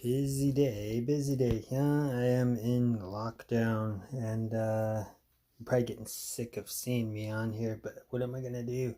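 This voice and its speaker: Quiet and monotone, a man talks at a fairly slow pace with a dark, mellow tone and flat intonation. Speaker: military surplus collector. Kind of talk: casual talk to camera. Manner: low, quiet.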